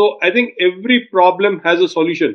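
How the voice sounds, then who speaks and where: A man speaks at a high pitch. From India, Baroda (Gujarat). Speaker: anti-trafficking activist. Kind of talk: interview. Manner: emphatic, motivational speaking style.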